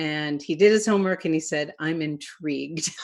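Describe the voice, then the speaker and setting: Over a quiet background, a woman has an unremarkable speaking voice. Her pitch is fairly low, with ordinary variation. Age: 60s. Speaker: event host. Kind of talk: webinar discussion.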